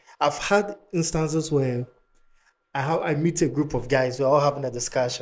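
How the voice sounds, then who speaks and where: This is a man speaking. His pace is moderate. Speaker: podcast host. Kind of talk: casual chat. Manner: calm.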